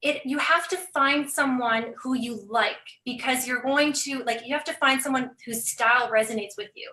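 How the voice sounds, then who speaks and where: A woman's raised, projected voice carries a bright, sharp tone and a high pitch, with ordinary pitch variation. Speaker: business coach. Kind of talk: casual chat. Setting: live video stream. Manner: fast; animated.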